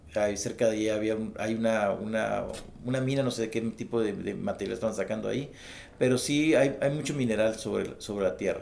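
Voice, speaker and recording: A man speaks with lively intonation. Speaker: witness and book author recounting UFO encounter. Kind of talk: interview testimony. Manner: halting, many false starts.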